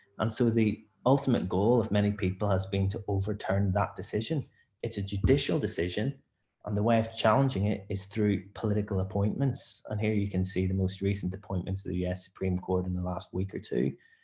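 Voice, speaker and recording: In a Northern Irish accent, a dark, mellow, somewhat breathy voice moves at a fairly quick pace with ordinary pitch variation. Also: man, fairly low pitch for a man. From Northern Ireland. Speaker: barrister. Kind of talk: webinar presentation.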